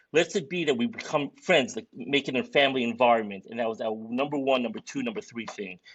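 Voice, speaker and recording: This man talks very fast in a strong Brooklyn accent, with hardly any pauses. His pitch is medium and his intonation is lively. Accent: thick Brooklyn. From Brooklyn, New York (Borough Park). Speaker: sports league organizer, podcast co-host. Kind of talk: casual podcast chat. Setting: live podcast.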